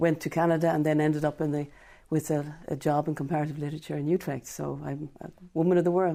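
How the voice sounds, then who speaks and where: In an Irish accent, a woman talks at a very fast pace with a very deep, low pitch, a dark, mellow tone and monotone, flat intonation. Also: very clean recording, silent background. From Ireland. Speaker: professor of comparative literature. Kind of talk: radio interview.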